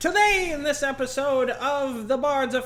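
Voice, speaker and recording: With ordinary pitch variation, a man keeps a moderate pace as noticeable background noise carries on around him. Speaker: dungeon master. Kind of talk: tabletop game narration. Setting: livestream. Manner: quiet; soft-spoken.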